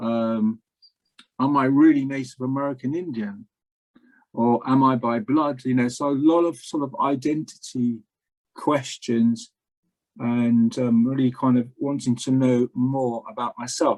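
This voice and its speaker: A man with an English accent, medium pitch, fairly even intonation and a fairly slow pace. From England. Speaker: spiritual practitioner. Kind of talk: interview conversation. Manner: hesitant, many fillers.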